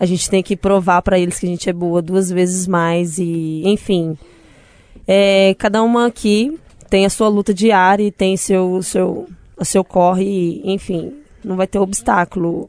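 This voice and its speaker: A woman with an unremarkable speaking voice talks at a fairly slow pace with fairly even intonation, in a dry, close sound with no echo. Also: medium pitch for a woman. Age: 30s. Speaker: DJ. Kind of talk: casual interview chat. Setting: radio studio.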